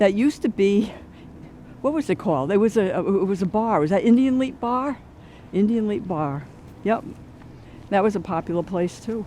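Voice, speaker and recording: A woman with a Rhode Island accent speaks at a medium pitch in a dark, mellow tone. Her speech has long, frequent pauses. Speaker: walking tour narrator. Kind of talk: narrated walking tour. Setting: outdoors walking. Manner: casual, halting with fillers.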